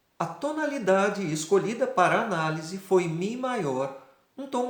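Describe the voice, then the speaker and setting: A fairly slow pace and lively intonation amid audible room echo. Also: man. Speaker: singing teacher and singer. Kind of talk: scripted music analysis lecture. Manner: formal.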